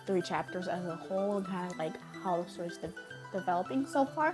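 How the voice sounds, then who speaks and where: Music plays in the background as a woman speaks at a fairly quick pace. Her pitch is medium and her intonation lively. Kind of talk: casual talk to camera. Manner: loud, energetic.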